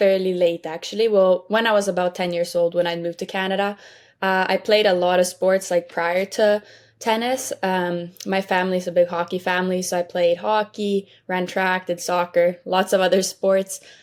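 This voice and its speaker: In a Swedish accent, a woman speaks at a medium pitch and a moderate pace with fairly even intonation, on a very clean recording with a silent background. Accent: Swedish-tinged English. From Sweden. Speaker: college tennis player. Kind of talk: interview.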